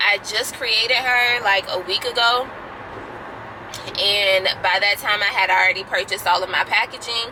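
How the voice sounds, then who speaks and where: Over noticeable background noise, a woman speaks with fairly even intonation and very even loudness. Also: medium pitch for a woman, moderate pace. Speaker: small skincare business owner, vlogger. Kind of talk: casual vlog update. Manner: hesitant, filler-heavy.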